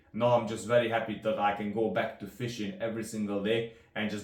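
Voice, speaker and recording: With a Hungarian accent, a man speaks at a fairly quick pace and medium pitch in monotone, flat intonation, amid noticeable background noise and audible room echo. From Hungary. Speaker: rod builder. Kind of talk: product demonstration. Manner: halting.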